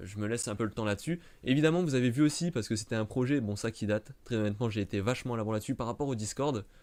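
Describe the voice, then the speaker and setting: Speaking at a very fast pace and medium pitch, a man comes through on a very clean recording with a silent background. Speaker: YouTuber, Star Wars channel. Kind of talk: live stream chat to camera. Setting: live stream in front of camera. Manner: stumbling, hesitant.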